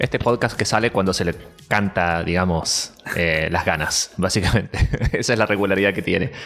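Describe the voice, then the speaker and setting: Over music in the background, a man with a very deep, low pitch talks at a moderate pace with fairly even intonation. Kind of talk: podcast host talk.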